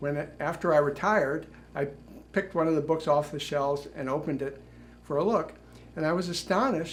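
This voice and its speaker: Someone with an American accent and vocal fry talks at a fairly quick pace, with audible room echo. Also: man. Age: 70s. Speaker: retired journalist and author. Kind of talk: prepared talk.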